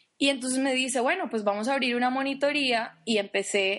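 Against a quiet background, a woman's pitch varies in an ordinary way as she talks at a moderate pace. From Colombia, Popayán. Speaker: podcast co-host, UX specialist. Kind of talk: casual chat.

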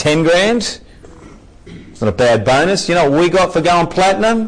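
Over noticeable background noise, a man talks at a fairly quick pace with high pitch and very wide pitch swings. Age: 40s. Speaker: business motivational speaker. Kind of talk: motivational talk. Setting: meeting with audience. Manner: animated.

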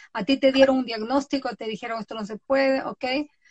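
Her voice sits high for a woman, with ordinary pitch variation, and the sound is dry and close with no echo. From Ecuador. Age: 50s. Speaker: podcast host and author. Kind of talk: casual chat. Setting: Instagram live video.

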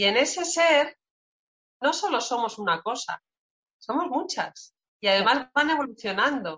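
Her high voice, with very wide pitch swings, is broken by long, frequent pauses as the woman speaks. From Spain, Segovia. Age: 40s. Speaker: forestry engineer and entrepreneur. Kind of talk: casual interview.

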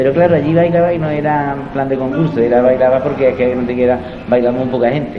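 A man talks very fast at a medium pitch, with fairly even intonation. Noticeable background noise and audible room echo are present. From Andalusia, Antequera (Málaga). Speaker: flamenco dancer and dance teacher. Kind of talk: interview.

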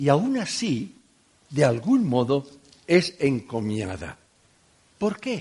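A somewhat breathy male voice with a Catalan accent and very wide pitch swings. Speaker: preacher. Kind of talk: sermon.

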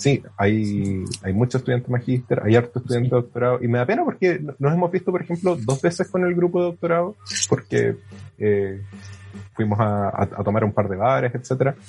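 A man with a Chilean accent talks at a fairly quick pace and medium pitch, somewhat breathy, his pitch swinging very widely while his loudness stays very even. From southern Chile (Puerto Williams, Puerto Montt). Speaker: astronomy PhD student. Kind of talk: casual interview. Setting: remote call.

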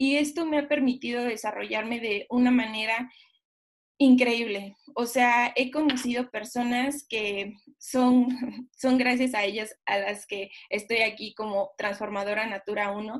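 The speech moves at a fairly slow pace. Its intonation stays fairly even. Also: woman, fairly high pitch for a woman. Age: 20s. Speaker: direct sales distributor. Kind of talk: testimony.

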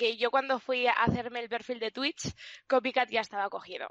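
Recorded with a dry, close sound and no echo, a woman talks at a moderate pace in a fairly high pitch. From Spain, León. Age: 20s. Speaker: streamer. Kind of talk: interview.

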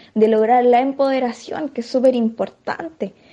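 This woman has a high pitch and a dark, mellow tone. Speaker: feminist activist spokesperson. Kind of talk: recorded statement. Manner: halting.

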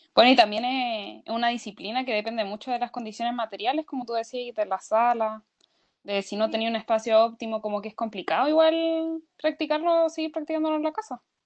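A woman with a Chilean accent, high in pitch, fairly quick in pace, with ordinary pitch variation. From Maule region, Chile. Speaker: university student. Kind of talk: casual chat.

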